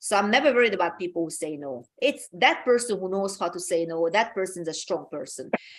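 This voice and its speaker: Lively intonation from a woman in a Hungarian accent, medium in pitch, at a moderate pace over a quiet background. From Hungary. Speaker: talk show host. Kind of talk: motivational talk. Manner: halting, many repeated words.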